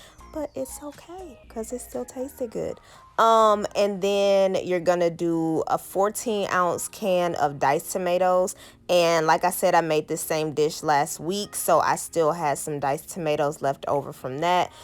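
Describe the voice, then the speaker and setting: In a normal speaking voice, a woman talks at a fairly slow pace with a fairly low pitch and lively intonation, on a very clean recording with a silent background. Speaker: lifestyle vlogger. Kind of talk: cooking tutorial. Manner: casual, many fillers.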